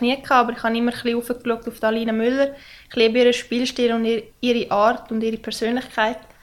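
Her pitch is high and her intonation is monotone and flat. The woman speaks at a very fast pace. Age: 20s. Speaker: ice hockey player. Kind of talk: casual interview.

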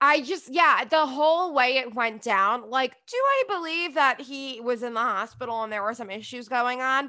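A woman with an American accent projects a raised voice in a high pitch and a bright, sharp tone, keeping a moderate pace with hardly any pauses and ordinary pitch variation. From New Jersey. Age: 30s. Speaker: podcast host and reality TV commentator. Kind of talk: casual chat.

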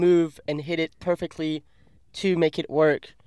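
A man with a French accent speaks at a moderate pace in a high pitch with monotone, flat intonation. The recording is very clean with a silent background and a dry, close sound with no echo. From France. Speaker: professional kayaker. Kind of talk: casual interview. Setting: in a car.

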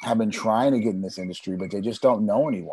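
This man has an American accent. His pitch sits fairly low. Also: quiet background. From California. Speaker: TV producer and documentary director. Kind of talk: interview.

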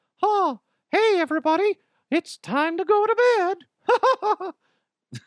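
Someone speaks in a put-on character voice at an extremely high pitch, keeping to a fairly slow pace. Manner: cheerful, sing-song.

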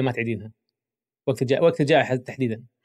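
A man speaks with a Kuwaiti accent. His pace is very fast, with ordinary pitch variation. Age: 50s. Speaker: psychologist and podcast host. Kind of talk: casual interview.

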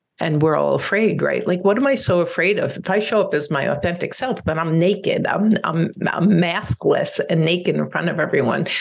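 A woman talks at a fairly quick pace with hardly any pauses. Her loudness stays very even over noticeable background noise. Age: 60s. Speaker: divorce coach and podcast host. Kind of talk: solo podcast monologue.

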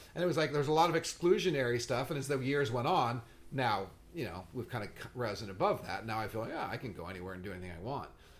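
At a very fast pace, a man with an American accent talks at a medium pitch with very wide pitch swings. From Southern California. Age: 60s. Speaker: podcast host and skateboarder. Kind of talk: casual chat. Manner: animated.

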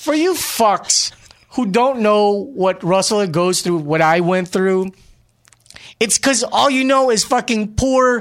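A man with a high-pitched voice talks at a very slow pace. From Glendale, California (immigrant). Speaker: podcast host. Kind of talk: casual chat.

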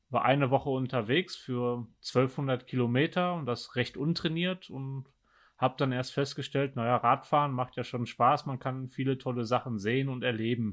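Fairly even in intonation, a man talks at a medium pitch. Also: moderate pace. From Germany. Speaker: ultra-cyclist. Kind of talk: casual interview. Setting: remote call.

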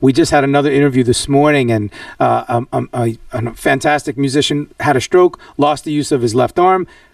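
A man with a New York accent speaks at a fairly high pitch and a fairly quick pace. He has ordinary pitch variation and hardly any pauses. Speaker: podcast host. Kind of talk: interview. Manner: animated.

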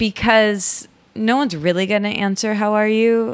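Here a woman speaks in a Midwestern US accent. Her pitch is fairly high. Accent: US Midwest. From Michigan. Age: 30s. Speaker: podcaster and writer. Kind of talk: casual interview chat.

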